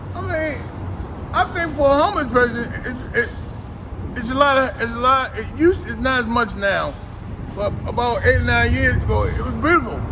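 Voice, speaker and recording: A man talks at a fairly quick pace but leaves long, frequent pauses. Audible room echo and noticeable background noise fill the recording. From Baltimore, Maryland. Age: 50s. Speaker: homeless man. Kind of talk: interview. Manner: halting, repeats words.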